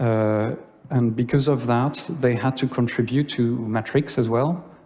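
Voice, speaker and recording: The speaker has a French accent and fairly even intonation. Audible room echo surrounds the voice. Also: man. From France. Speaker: conference speaker. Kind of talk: conference talk. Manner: halting.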